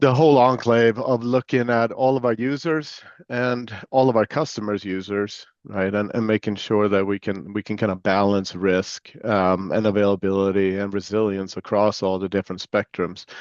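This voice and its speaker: Speaking with an American accent at a moderate pace, a man with a fairly low pitch and ordinary pitch variation barely pauses, and the sound is dry and close with no echo. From Sweden. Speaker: chief information security officer, former Marine. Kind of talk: interview. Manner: casual with many fillers.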